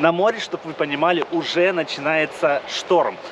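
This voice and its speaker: A man speaks at a moderate pace over noticeable background noise, the sound dry with no echo. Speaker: travel vlogger. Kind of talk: casual vlog chat. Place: garden. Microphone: phone near.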